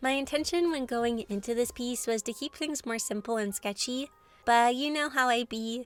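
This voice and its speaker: A woman at a moderate pace, fairly high in pitch, with fairly even intonation. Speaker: art YouTuber. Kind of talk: scripted narration. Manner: expressive.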